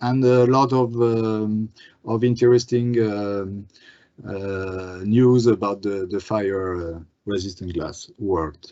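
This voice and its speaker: Speaking very slowly with a French accent, a man keeps a fairly low pitch and fairly even intonation. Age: 40s. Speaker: glass industry business manager. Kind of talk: webinar presentation and Q&A. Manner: halting, many fillers.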